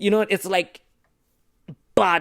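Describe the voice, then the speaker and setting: On a very clean recording with a silent background, a man speaks in an animated tone. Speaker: vlogger. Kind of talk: casual monologue to camera. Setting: small room, recording to camera.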